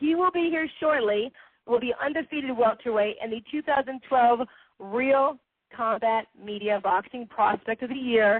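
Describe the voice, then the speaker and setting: Using lively intonation, a woman with a high pitch talks at a moderate pace. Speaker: boxing radio host. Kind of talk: internet radio show hosting. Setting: internet radio broadcast. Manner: stumbles over names.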